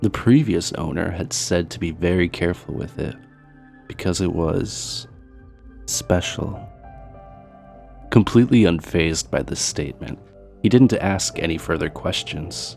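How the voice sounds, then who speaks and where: Music plays behind a man with a very deep, low voice. His pitch swings very widely, and he pauses long and often. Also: fairly slow pace. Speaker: horror story narrator. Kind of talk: true scary story narration.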